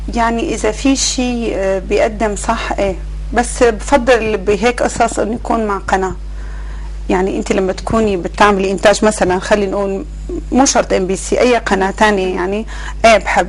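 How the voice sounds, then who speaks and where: A woman speaks at a moderate pace. Noticeable noise sits in the background. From Syria, Bedouin roots from Al-Hasakah governorate. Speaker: actress and TV producer. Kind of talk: interview. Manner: hesitant, many fillers.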